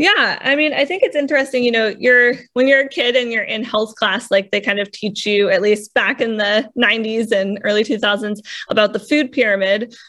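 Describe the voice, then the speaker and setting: A woman at a fairly high pitch and moderate pace, hardly any pauses, ordinary pitch variation and noticeable background noise. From New England. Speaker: food company co-founder and executive. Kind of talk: interview conversation.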